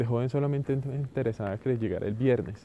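At a fairly quick pace, a man speaks with a dark, mellow tone and fairly even intonation. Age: 30s. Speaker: podcaster. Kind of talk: solo monologue audioblog.

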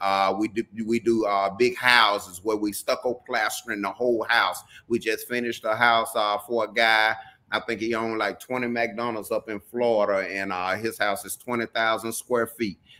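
With a Southern US accent, a man talks at a moderate pace and medium pitch, his tone bright and sharp and his intonation monotone and flat. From Mississippi. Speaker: reality TV personality. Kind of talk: interview. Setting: video call.

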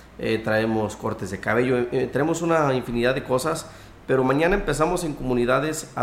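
The voice carries lively intonation at a moderate pace, with audible room echo. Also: man. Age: 30s. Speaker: local party politician. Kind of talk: radio interview.

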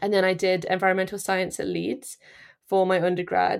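This is a woman speaking. She has an East Midlands accent. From England, Nottinghamshire (East Midlands). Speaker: peatland wildfire scientist. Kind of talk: interview. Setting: remote recording from the UK.

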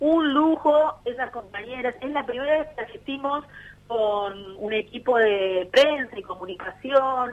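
A woman's voice, high in pitch, moves at a fairly slow pace. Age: 40s. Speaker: union activist. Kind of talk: casual radio interview.

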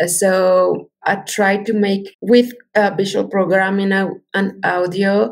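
Speaking very slowly, a woman talks with a Spanish accent. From Mexico. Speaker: multimedia artist. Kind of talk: interview. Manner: halting.

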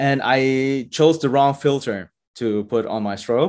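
The pace is very slow. The background is quiet. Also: man. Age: 40s. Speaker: Lego photographer. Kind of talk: interview.

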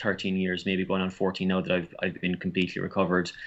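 A man talks in a very deep, low pitch. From Ireland. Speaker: author and recovery coach. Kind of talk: podcast interview. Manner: halting, many repetitions.

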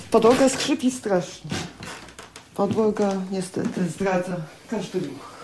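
Through noticeable background noise, a woman speaks at a very slow pace with lively intonation and long, frequent pauses. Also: medium pitch for a woman. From Poland, near Lublin (Poniatowa). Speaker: radio reporter and early music cellist. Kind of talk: personal storytelling.

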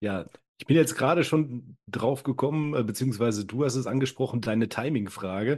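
A man speaks at a fairly quick pace in a medium pitch with ordinary pitch variation, against a quiet background. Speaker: guest co-host. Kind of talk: scripted intro; casual chat.

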